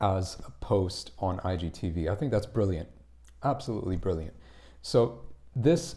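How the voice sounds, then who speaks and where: Speaking at a moderate pace, a man's dark, mellow, somewhat breathy voice swings very widely in pitch. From Tamil background, India. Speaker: English accent coach. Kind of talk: casual live stream talk.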